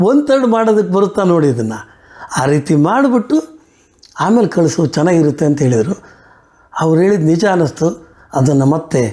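A man's voice sits high in pitch yet has a dark, mellow tone. His pitch swings very widely while his loudness stays very even. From Chitradurga, Karnataka, India. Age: 60s. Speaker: retired civil servant and writer. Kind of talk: interview. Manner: halting.

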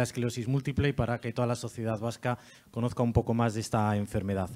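A man talks at a fairly quick pace. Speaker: event presenter and foundation director; presenter. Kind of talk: event presentation. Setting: stage with audience. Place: hall. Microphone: handheld.

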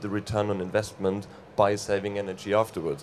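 A man's fairly low voice at a moderate pace, with music in the background. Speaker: guest. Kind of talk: interview answer. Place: stage. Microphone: handheld.

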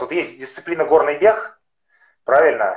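A man is speaking with audible room echo. The background is quiet. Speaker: amateur marathon and ultramarathon runner; guest. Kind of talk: interview. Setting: video call over mobile internet. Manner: halting, many fillers. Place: home room. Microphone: unstable connection; video call.

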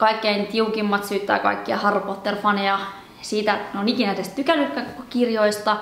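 Fairly slow female speech with fairly even intonation and audible room echo. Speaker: book channel host. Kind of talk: personal commentary monologue. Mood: earnest, troubled, reflective. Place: home room.

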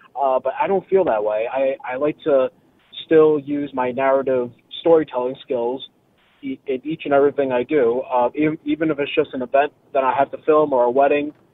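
Here a man speaks at a moderate pace with fairly even intonation and a fairly high pitch. He has an unremarkable speaking voice. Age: 20s. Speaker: filmmaker and author. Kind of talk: interview. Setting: phone call.

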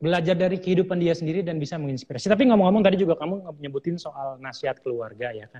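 Against a quiet background, a man with a high voice races along very fast with hardly any pauses, lively intonation and big swings in loudness. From Indonesia. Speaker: livestream host. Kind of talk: interview. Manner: animated. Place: studio.

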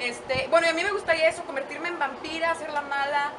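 Crowd noise fills the background. A woman speaks in a raised, projected voice at a fairly quick pace. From Mexico, San Luis Potosí. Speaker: radio host, TV presenter and actress. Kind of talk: casual interview. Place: garden.

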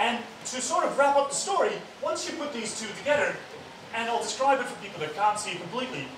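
A man talking at a fairly quick pace amid audible room echo and noticeable background noise. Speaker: speaker. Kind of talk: public science talk. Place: hall.

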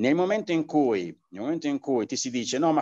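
A man at a moderate pace, his pitch swinging very widely, against a quiet background. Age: 60s. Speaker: martial arts teacher; martial arts teacher interviewed. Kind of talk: interview. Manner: halting, many fillers. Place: home room. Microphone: video call.

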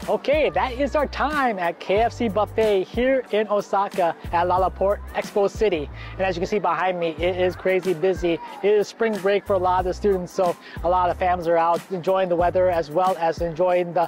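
Over faint music in the background, a man with a high pitch speaks at a fairly quick pace with ordinary pitch variation, the sound dry with no echo. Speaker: food vlogger. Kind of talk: casual vlog chat. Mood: cheerful, relaxed.

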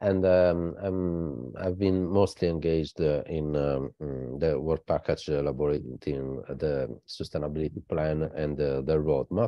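A man with a very deep, low pitch speaks at a fairly slow pace, his pitch varying an ordinary amount. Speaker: think tank director. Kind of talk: conference presentation. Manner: halting, many fillers.

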